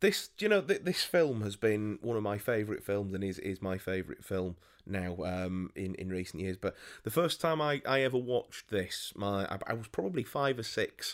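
Over a very clean recording with a silent background, a man with a Yorkshire accent speaks at a fairly low pitch with lively intonation. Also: moderate pace. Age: 20s. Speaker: podcast co-host. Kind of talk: casual chat.

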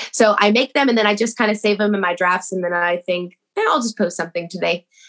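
This woman's voice sits at a medium pitch with ordinary pitch variation and a bright, sharp tone. The background is quiet. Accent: American. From Texas. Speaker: TikTok creator. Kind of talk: casual chat.

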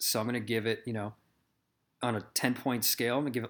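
Here a man talks at a medium pitch with fairly even intonation. The recording is very clean, with a silent background. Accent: Midwestern American. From US Midwest. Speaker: podcast host. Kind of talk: casual chat.

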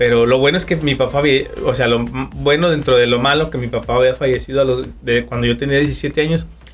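A man uses an ordinary speaking voice, talking fairly quickly at a medium pitch with fairly even intonation. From Durango, Mexico. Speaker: barber. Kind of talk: casual interview.

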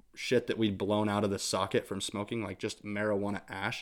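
A man with an American accent, fairly low pitch, a bright, sharp tone and monotone, flat intonation, in a very clean recording with a silent background. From Idaho, US. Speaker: musician. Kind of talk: casual interview.

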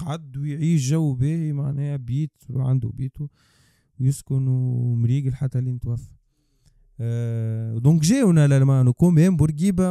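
With a Tunisian accent, a man speaks fairly slowly at a fairly high pitch, his tone dark and mellow, his pitch varying in an ordinary way, and the sound dry and close with no echo. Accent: Tunisian Arabic with French code-switching. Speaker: podcast co-host. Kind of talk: casual discussion.

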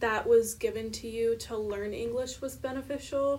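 This woman talks at a moderate pace while noticeable background noise plays. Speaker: podcast co-host, education student. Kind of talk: casual interview.

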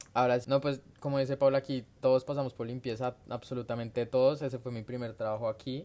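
Speaking very fast with hardly any pauses, a man keeps a medium pitch and a monotone, flat intonation. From Colombia, Bogotá. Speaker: migrant. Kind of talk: casual chat.

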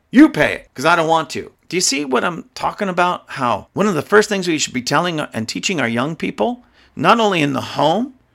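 A man talks at a high pitch in an animated tone with lively intonation. The recording is very clean, the background silent. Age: 50s. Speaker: podcast host. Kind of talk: opinion monologue.

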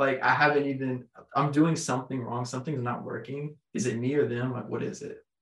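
An ordinary speaking voice from a man, medium in pitch, fairly quick in pace and fairly even in intonation. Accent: American. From Texas. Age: 20s. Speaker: construction company founder, former college football player. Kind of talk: casual interview chat. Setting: in-person studio recording.

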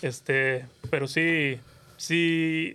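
A man speaks with ordinary pitch variation. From Mexico, Monterrey, Nuevo León. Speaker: podcast co-host. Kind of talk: casual chat. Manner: animated.

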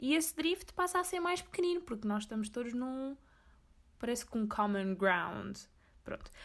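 A woman with a high voice speaks at a moderate pace, her pitch swinging very widely. She leaves long, frequent pauses. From Azores, Portugal (Corvo). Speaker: podcaster. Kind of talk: personal monologue. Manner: casual, code-switching into English.

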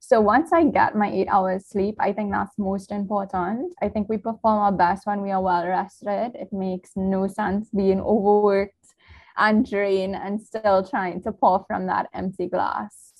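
A woman speaks at a fairly slow pace with fairly even intonation. Her voice is somewhat breathy. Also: medium pitch for a woman. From Trinidad. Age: 20s. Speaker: content creator and lupus survivor. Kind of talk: casual interview.

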